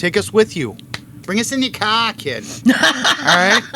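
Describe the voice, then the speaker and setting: Noticeable background noise sits behind a fairly slow delivery with lively intonation. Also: man, high pitch for a man. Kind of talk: casual podcast banter. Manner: upbeat, joking.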